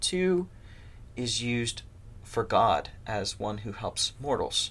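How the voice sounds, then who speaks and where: This man has a medium pitch and a bright, sharp tone, with a Midwestern American accent. His pitch varies in an ordinary way, and the recording is very clean with a silent background. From US Midwest, north central Ohio. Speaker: seminary professor. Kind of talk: interview.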